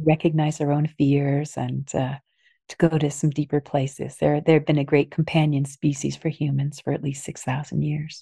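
A woman with a very deep, low pitch and a dark, mellow tone speaks at a moderate pace in a flat monotone, somewhat breathy, the sound dry and close with no echo. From US, New Jersey (Princeton). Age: old. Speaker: anthropologist and author. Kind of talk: interview storytelling.

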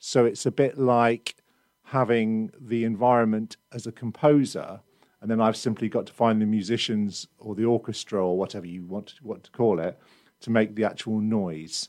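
The recording is very clean, dry and close with no echo and a silent background, as a man of medium pitch speaks with a British accent at a moderate pace. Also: ordinary pitch variation. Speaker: musician. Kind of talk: interview chat.

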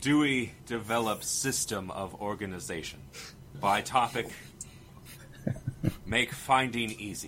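A put-on character voice at a fairly slow pace, with long, frequent pauses and clear background noise. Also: man, medium pitch for a man. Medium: actual play. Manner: quiet, broken simple phrasing.

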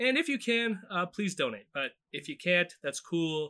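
A man's voice is high, bright and sharp, with very wide pitch swings. The recording is very clean, dry and close, with no echo and a silent background. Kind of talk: casual commentary chat.

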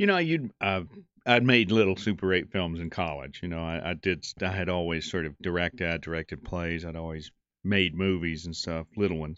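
Very deep and low, this man's voice keeps fairly even intonation at a fairly quick pace. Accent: Southern US. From Western North Carolina. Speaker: actor and director. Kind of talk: casual interview.

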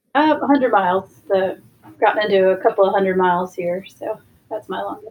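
A woman with an American accent has an ordinary speaking voice at a medium pitch. She talks at a fairly quick pace with ordinary pitch variation. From Washington DC area. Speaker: ultra runner and newspaper editor. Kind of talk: casual interview.

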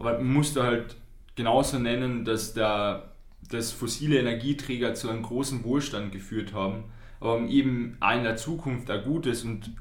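There is audible room echo around this voice. A man talks in a Carinthian accent. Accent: Carinthian Austrian. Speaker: youth climate podcast co-host, climate activist. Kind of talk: casual podcast conversation. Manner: halting.

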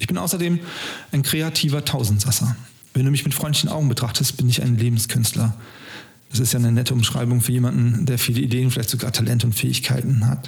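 A man with a medium pitch talks at a very fast pace and very even loudness, with ordinary pitch variation and noticeable background noise. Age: 50s. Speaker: podcast host. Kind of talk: scripted narration.

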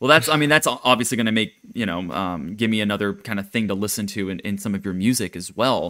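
Talking at a very fast pace, a man with a fairly low pitch and a bright, sharp tone leaves hardly any pauses. His pitch variation is ordinary. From Japan. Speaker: podcast host. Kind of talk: casual interview chat; scripted announcement.

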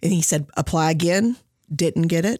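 A woman with a fairly low pitch talks at a moderate pace in fairly even intonation. The recording is very clean, with a silent background. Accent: Kentucky. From western Kentucky (Henderson County). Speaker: college diversity coordinator, former teacher. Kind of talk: interview.

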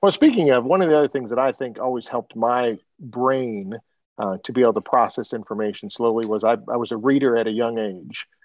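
This man has an ordinary speaking voice at medium pitch, with ordinary pitch variation. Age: 50s. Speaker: podcast host. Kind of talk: interview conversation. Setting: video call.

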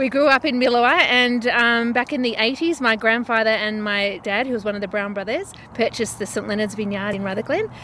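With an Australian accent, a woman talks at a fairly quick pace with hardly any pauses. Her fairly high voice has a bright, sharp tone and ordinary pitch variation. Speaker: winery owner. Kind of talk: casual interview.

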